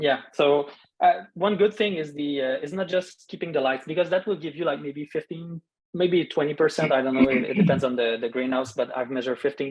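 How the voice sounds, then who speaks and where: A fairly high-pitched man with a Quebec accent talks at a fairly quick pace, his pitch varying in an ordinary way. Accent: French-Canadian accent in English. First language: French. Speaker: dark-sky expert, park scientist. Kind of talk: Q&A after a talk. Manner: halting, many fillers.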